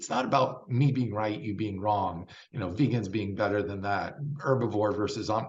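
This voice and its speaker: Male speech, somewhat breathy, its pitch varying in an ordinary way. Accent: American. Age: 60s. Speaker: vegan bodybuilder. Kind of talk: interview. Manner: animated.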